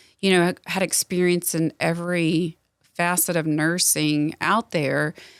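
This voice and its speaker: A woman with a Southern US accent speaks fairly slowly at a fairly low pitch, in monotone, flat intonation with very even loudness. The sound is dry and close, with no echo. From Southwest Louisiana, moved to Middle Tennessee as a child. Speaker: nurse practitioner. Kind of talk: podcast interview. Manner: casual, with fillers.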